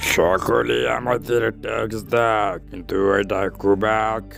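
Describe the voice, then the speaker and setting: Over clear background music, a man does a cartoonish character voice at a fairly low pitch and a fairly slow pace. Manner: eager to please, boastful.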